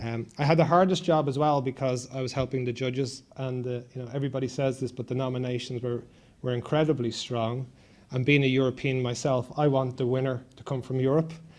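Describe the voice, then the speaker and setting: Talking at a fairly quick pace, a man with an Irish accent keeps a monotone, flat intonation. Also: medium pitch for a man. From Ireland. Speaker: event host and venture capital sponsor. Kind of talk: opening speech at an awards event.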